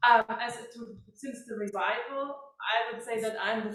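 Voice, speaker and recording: A woman with a German accent and fairly high pitch at a moderate pace, with audible room echo. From Germany, Heidelberg region. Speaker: klezmer harpist. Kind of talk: Q&A session after concert.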